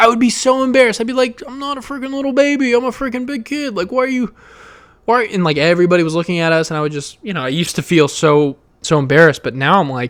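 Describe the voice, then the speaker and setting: Loud, very fast, animated speech from a man, high in pitch with very wide pitch swings. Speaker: podcast host. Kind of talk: personal monologue.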